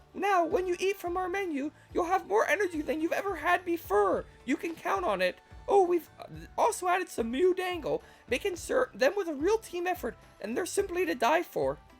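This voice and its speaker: In a put-on character voice of extremely high pitch, the speaker goes at a moderate pace while faint music plays in the background. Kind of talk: cheery advertising pitch.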